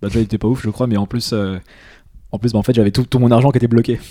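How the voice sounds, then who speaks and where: Very fast and flat in a monotone, a man speaks at medium pitch with a dark, mellow tone. The recording is very clean, with a silent background. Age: 20s. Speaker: entrepreneur. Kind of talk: casual interview.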